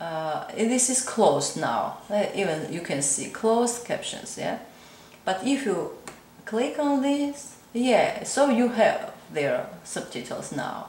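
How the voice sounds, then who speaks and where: Amid noticeable background noise and audible room echo, a woman speaks at a very slow pace in a high pitch with very wide pitch swings. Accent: Georgian. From Georgia. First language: Georgian. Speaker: crochet content creator. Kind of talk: tutorial. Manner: halting, many fillers.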